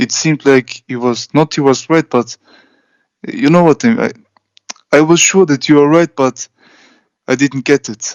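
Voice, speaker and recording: The speaker has a non-native accent, ordinary pitch variation, and long, frequent pauses. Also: man, fairly high pitch for a man, moderate pace. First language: not English. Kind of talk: casual chat. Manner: hesitant.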